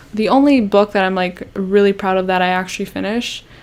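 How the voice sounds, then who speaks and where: The woman's voice sits at a medium pitch, and her intonation stays fairly even. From Canada. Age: 20s. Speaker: YouTuber. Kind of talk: casual chat. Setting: live stream. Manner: hesitant, many fillers.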